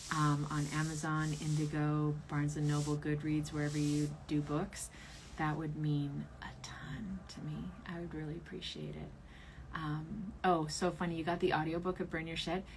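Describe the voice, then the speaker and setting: Amid audible room echo, a woman with a very deep, low, somewhat breathy voice speaks at a moderate pace in a monotone, flat intonation. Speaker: tarot reader and author. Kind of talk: livestream ritual.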